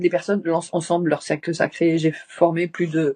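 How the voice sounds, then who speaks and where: A woman at a fairly low pitch and moderate pace, with a dry, close sound with no echo. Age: 60s. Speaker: shamanic practitioner and teacher. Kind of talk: interview. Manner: halting.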